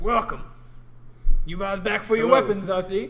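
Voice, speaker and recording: A man uses a gruff put-on character voice pitched high. He talks at a fairly quick pace. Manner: gruff, welcoming.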